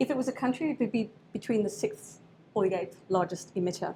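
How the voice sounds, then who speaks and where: A woman with an Australian accent speaks at a fairly quick pace in a fairly high pitch, her intonation lively and her voice somewhat breathy. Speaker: researcher giving a presentation. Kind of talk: presentation to an audience. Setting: event with live audience.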